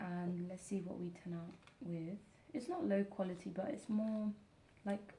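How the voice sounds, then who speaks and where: A woman speaks softly at a fairly slow pace. Her pitch is fairly low and her intonation fairly even. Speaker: ASMR content creator, wax seal hobbyist. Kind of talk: ASMR sleep relaxation talk, explaining a craft. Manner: quiet, slow, soft-spoken.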